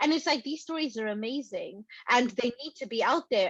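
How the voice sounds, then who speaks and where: A woman is speaking at a moderate pace. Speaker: podcast co-host and film producer. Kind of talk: casual podcast discussion.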